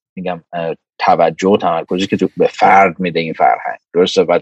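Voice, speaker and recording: A man is heard with a dry, close sound that carries no echo. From Iran. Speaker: microbiology professor and lab director. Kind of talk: casual interview chat.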